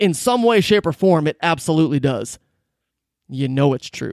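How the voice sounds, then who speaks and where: Animated and with very wide pitch swings, a man talks in an American accent, the sound dry and close with no echo. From Michigan, US. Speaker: podcast host. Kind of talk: motivational talk.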